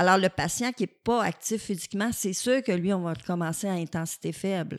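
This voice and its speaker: Speaking with a Quebec accent, a woman uses a medium pitch at a moderate pace. The sound is dry and close with no echo, in a very clean recording with a silent background. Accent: Québécois French. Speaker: physiotherapy professor. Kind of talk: casual interview.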